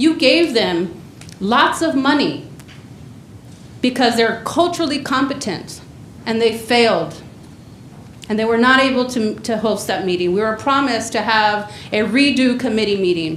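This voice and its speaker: With a Spanish accent, a woman talks at a moderate pace in a fairly high pitch with lively intonation, taking long, frequent pauses amid audible room echo and noticeable background noise. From Mexico. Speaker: community organizer / public commenter. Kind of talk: public comment at government meeting. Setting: county board meeting chamber. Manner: impassioned, direct.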